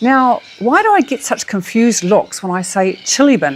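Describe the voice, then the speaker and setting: A woman speaks with a New Zealand accent at a fairly high pitch. Her voice makes very wide pitch swings. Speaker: travel vlogger. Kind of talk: casual monologue to camera.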